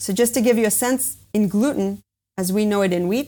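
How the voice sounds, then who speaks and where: Speaking at a fairly quick pace with vocal fry, a woman with an American accent talks at a fairly high pitch on a very clean recording with a silent background. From US, with Israeli background. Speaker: biotech company founder and CEO. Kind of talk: interview.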